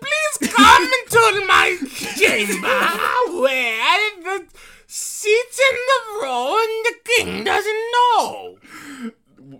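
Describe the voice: A female-sounding voice, extremely high-pitched, at a very slow pace in a put-on character voice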